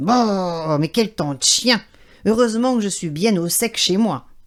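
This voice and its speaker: A woman puts on a gruff, growling character voice at a medium pitch. She speaks at a fairly slow pace. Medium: read story.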